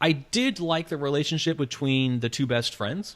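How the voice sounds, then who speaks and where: In an unremarkable speaking voice, a man with an American accent talks at a fairly high pitch with ordinary pitch variation. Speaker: film review podcast host. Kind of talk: casual review chat.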